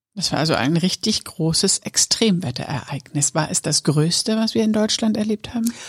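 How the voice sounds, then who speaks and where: A woman's somewhat breathy, medium-pitched voice with lively intonation, very even loudness, moderate pace, hardly any pauses, and a dry, close sound with no echo. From northern Lower Saxony, Germany. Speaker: podcast host. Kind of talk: casual chat.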